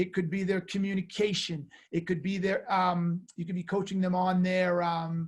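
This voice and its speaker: A loud, high-pitched man's voice with monotone, flat intonation. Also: moderate pace. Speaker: sales author and coach. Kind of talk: webinar presentation. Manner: halting, many fillers.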